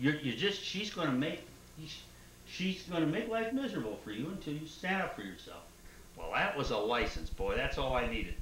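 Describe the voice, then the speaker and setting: Amid noticeable background noise and audible room echo, a man speaks at a fairly high pitch and a fairly quick pace, with very wide pitch swings. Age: 60s. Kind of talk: family oral history interview. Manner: animated.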